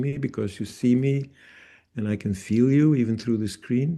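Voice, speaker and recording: This man has a dark, mellow tone at a medium pitch, with ordinary pitch variation. The background is quiet. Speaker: bodywork therapist and trainer. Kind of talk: webinar interview. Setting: video call. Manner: deliberately paced, self-regulating.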